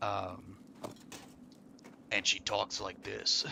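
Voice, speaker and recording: A man puts on a character voice, husky and raspy at a fairly low pitch. Background noise is clearly heard. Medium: game stream.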